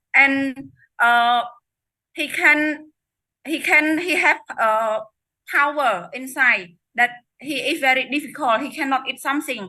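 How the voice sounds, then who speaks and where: A woman speaks at a high pitch in a raised, projected voice with a bright, sharp tone. Her very slow delivery has long, frequent pauses and ordinary pitch variation. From Cambodia. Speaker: network marketing distributor sharing success story. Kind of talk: testimony. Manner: halting.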